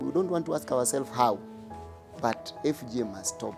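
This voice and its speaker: Over music in the background, a man speaks at a moderate pace with lively intonation. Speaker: activist against FGM. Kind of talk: advocacy speech to camera.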